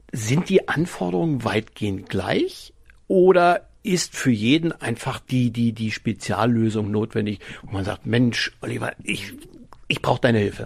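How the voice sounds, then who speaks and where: A man with a medium pitch talks at a fairly slow pace. His intonation is lively. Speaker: podcast host. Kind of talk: casual chat.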